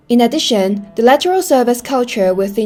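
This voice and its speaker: At a fairly quick pace, a woman with a fairly high pitch speaks with ordinary pitch variation. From Hong Kong. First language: Cantonese. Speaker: hospitality student. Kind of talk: presentation.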